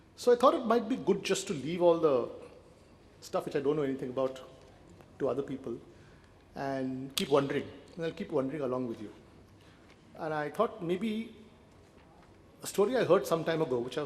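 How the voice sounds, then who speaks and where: Over audible room echo, a man speaks at a fairly high pitch and a fairly quick pace with lively intonation and long, frequent pauses. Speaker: conference speaker. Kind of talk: conference talk.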